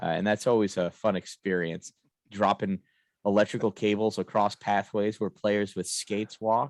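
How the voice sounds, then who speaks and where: On a very clean recording with a silent background and a dry, close sound with no echo, a man with an American accent speaks at a moderate pace in a fairly low pitch, with fairly even intonation. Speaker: hockey game announcer and podcast co-host. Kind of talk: casual chat. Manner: loud.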